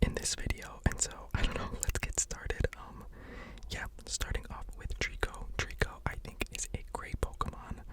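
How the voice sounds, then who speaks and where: A whispered voice moves at a moderate pace while noticeable background noise carries on. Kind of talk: ASMR whispered ramble ranking video; casual talk to camera. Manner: whispered, casual, rambling.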